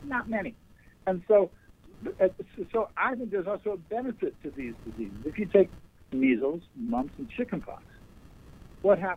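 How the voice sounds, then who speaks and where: Pausing long and often, a man with a high pitch talks at a moderate pace with very wide pitch swings. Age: 70s. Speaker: doctor. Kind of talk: radio interview.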